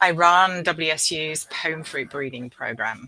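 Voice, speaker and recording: Speaking in a bright, sharp tone with ordinary pitch variation, a woman has a British accent. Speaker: professor and apple breeder. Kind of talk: presentation.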